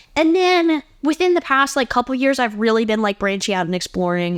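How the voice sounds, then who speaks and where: In a very clean recording with a silent background, a woman speaks loud and high with lively intonation. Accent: American. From Ohio, US Midwest. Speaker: podcast host. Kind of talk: casual monologue. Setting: home, sitting on bed.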